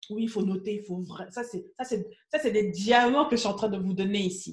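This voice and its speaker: Somewhat breathy and animated in tone, a woman speaks at medium pitch. Her pitch variation is ordinary. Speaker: business coach. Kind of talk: live stream Q&A coaching. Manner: fast.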